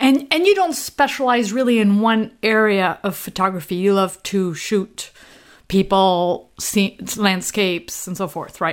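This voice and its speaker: A woman with a French accent speaks at a fairly slow pace, her pitch medium and its variation ordinary. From France, Normandy. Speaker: podcast host. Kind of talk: interview.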